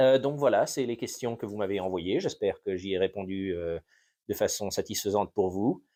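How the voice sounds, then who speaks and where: A dark, mellow tone with an English accent and ordinary pitch variation. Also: man. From France (Normandy) and US, bilingual. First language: English (speaking French). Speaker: history YouTuber. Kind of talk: unscripted Q&A monologue. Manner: halting, many fillers.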